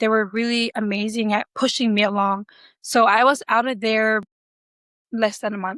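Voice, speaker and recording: In a Samoan accent, a woman speaks at a moderate pace and a fairly high pitch, her intonation monotone and flat. The recording is very clean, dry and close, with a silent background and no echo. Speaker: pilot. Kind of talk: interview. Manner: hesitant, many fillers.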